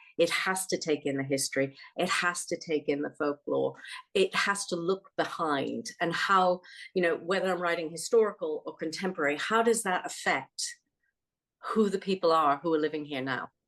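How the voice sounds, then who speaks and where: A woman with an American accent speaks at fairly low pitch and a moderate pace, with ordinary pitch variation. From United States. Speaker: author. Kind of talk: interview conversation.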